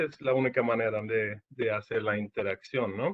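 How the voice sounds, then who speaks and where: Talking at a fairly slow pace, a man speaks with a Portuguese accent. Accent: Portuguese-tinged Spanish. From Sweden. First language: Swedish (speaking Spanish). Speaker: engineering service manager. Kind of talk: webinar presentation. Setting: online webinar. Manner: halting.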